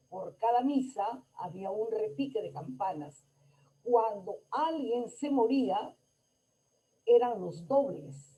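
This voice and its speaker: Speaking at a very slow pace, a woman with a fairly high pitch and a dark, mellow, somewhat breathy tone makes very wide pitch swings. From Peru, Lambayeque. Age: 70s. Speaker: conference speaker. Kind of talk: lecture.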